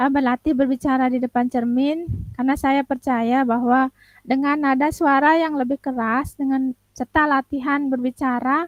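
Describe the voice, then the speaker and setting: A moderate pace, very even loudness and flat, monotone intonation, in a dry, close sound with no echo. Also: woman, high pitch for a woman. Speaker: teacher. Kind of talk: coaching role-play. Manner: halting.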